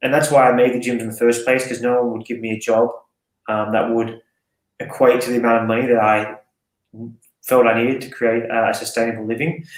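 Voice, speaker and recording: An audible room echo surrounds a man with an Australian accent. His pitch is medium and his pace fairly quick. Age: 30s. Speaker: fitness coach and gym owner. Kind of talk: casual podcast interview. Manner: animated, casual.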